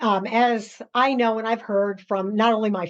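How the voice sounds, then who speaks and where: Speaking with a New York accent, a woman has a fairly high pitch. The background is quiet. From US, New York. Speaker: podcast host. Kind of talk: interview. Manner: laughs while talking.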